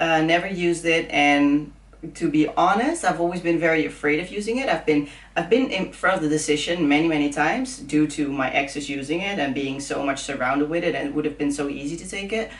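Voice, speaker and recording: A woman speaks with a Dutch accent and a very deep, low pitch. Her pitch varies in an ordinary way over noticeable background noise. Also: fairly quick pace. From Netherlands. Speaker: fitness influencer. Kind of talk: casual chat.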